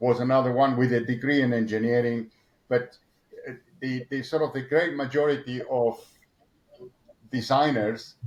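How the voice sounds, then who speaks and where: A man with an Argentine accent talks at a fairly slow pace with fairly even intonation and long, frequent pauses. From Argentina. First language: Spanish. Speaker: motorsport engineer. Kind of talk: interview. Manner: halting, many repetitions and fillers.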